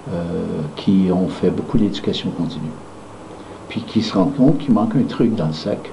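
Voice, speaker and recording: Someone with a Quebec accent talks at a fairly quick pace. Noticeable background noise and audible room echo are present. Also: man. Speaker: founder of a dental management training company. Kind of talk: promotional talk. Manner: hesitant, many fillers.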